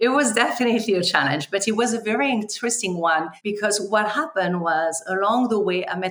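A woman with a strong French accent talks at a fairly quick pace with very wide pitch swings. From France. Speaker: community development banker. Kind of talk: interview.

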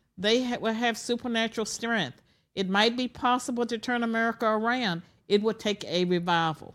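Speaking in an ordinary speaking voice, a woman uses a fairly high pitch, ordinary pitch variation, and a moderate pace on a very clean recording with a silent background. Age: 60s. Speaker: former professor. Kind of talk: interview. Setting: studio.

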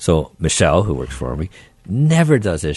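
A man speaks at a fairly quick pace with a fairly low pitch. Vocal fry runs through his voice. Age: 60s. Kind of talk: casual radio interview. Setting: studio.

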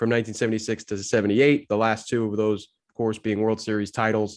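Words pour out at a very fast pace from a man whose pitch sits in the medium range. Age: 30s. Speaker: baseball researcher. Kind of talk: casual chat.

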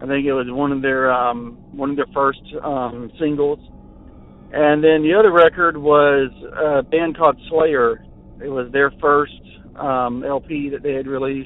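The delivery is fairly slow. Its rise and fall stays fairly even. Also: man, fairly high pitch for a man. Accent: American. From Central Florida. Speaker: caller. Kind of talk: recorded voicemail story. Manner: halting, many filler words.

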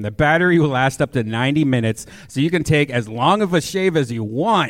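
The speaker has a normal speaking voice, moving at a moderate pace with lively intonation. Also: man. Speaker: podcast co-host and producer. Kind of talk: live comedy show banter and ad reads. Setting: stage with audience.

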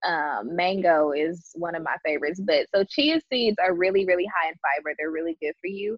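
With an unremarkable speaking voice, a woman talks at a fairly low pitch and fairly quick pace, with ordinary pitch variation and hardly any pauses. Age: 30s. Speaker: yoga instructor and influencer. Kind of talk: casual chat.

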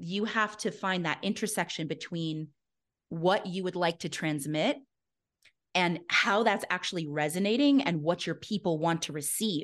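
A woman's fairly low, unremarkable speaking voice at a moderate pace, with ordinary pitch variation and a quiet background. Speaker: fitness business coach. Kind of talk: casual chat.

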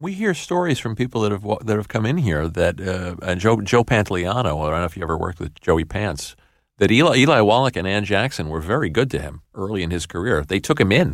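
On a very clean recording with a silent background, a man talks at a very fast pace in a fairly low voice. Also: lively intonation. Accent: New York. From New York City. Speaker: podcast co-host. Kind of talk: interview.

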